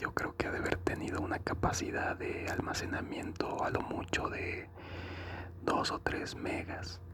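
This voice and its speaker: A man whispers at a fairly slow pace. Background noise is noticeable. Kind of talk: ASMR chat about consoles and video games. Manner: soft-spoken, slow, relaxing.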